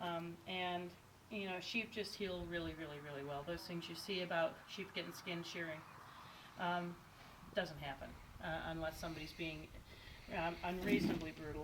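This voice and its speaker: Audible room echo surrounds a woman speaking at a moderate pace and fairly low pitch. Her intonation is monotone and flat, broken by long, frequent pauses. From Indiana, US Midwest. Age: 50s. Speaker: sheep shearer. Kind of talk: demonstration tutorial. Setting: on a farm.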